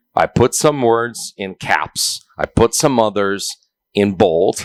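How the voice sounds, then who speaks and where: Recorded very cleanly against a silent background, a man with a Portuguese accent comes through in a dry, close sound with no echo. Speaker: UFC interpreter. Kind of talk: casual interview.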